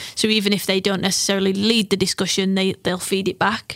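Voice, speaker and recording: Flat, monotone delivery in an English accent, with a dry, close sound and no echo. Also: woman. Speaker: football coach developer. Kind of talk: interview. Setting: studio.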